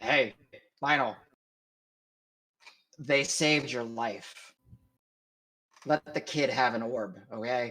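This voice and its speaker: Putting on a gruff character voice, the man speaks very slowly at a medium pitch with ordinary pitch variation and long, frequent pauses. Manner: blunt, insistent.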